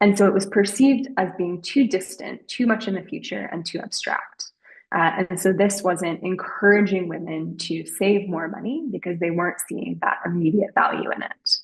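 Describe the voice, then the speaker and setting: A woman with an unremarkable speaking voice talks at a moderate pace and medium pitch, with ordinary pitch variation and hardly any pauses. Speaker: behavioral research presenter. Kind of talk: webinar presentation.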